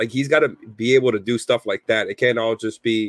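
A man talks at a fairly quick pace. The sound is dry and close with no echo, a very clean recording with a silent background. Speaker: sports podcast co-host. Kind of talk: sports analysis discussion.

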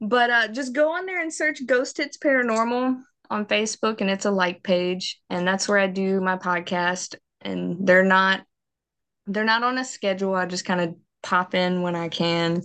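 Speaking in a strong Southern US accent, a woman uses a medium pitch with ordinary variation at a moderate pace over a quiet background. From US South, Mississippi. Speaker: paranormal investigator. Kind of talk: interview.

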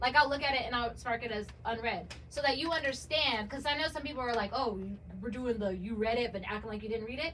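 Over noticeable background noise and audible room echo, a woman speaks at a very fast pace in a high pitch with ordinary pitch variation. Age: 30s. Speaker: bartender and model. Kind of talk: casual chat.

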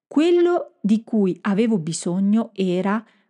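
A woman's fairly high, somewhat breathy voice, dark and mellow in tone, with very wide pitch swings over a quiet background. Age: 50s. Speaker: communication and marketing coach for professionals. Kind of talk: solo podcast monologue. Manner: hesitant, with filler sounds.

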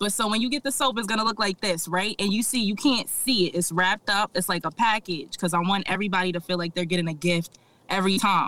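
A woman at medium pitch talks at a very fast pace with hardly any pauses and ordinary pitch variation. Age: 20s. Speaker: small business owner, soap maker. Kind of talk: interview.

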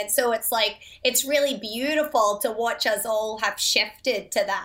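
A woman speaks with a Scottish accent. Her pitch is fairly high. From Scotland. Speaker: mother and recovery advocate. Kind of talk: casual interview chat.

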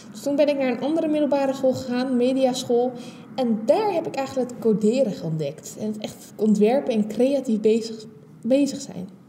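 A woman with a high pitch speaks at a moderate pace, her pitch varying in an ordinary way and her loudness swinging widely, with audible room echo and noticeable background noise. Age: 20s. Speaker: podcast host. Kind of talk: solo podcast monologue.

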